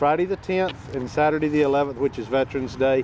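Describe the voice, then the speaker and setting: Noticeable background noise sits behind a dry sound with no echo. A man talks at a fairly quick pace. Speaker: auctioneer, business owner. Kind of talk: TV business segment interview answer. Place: open country.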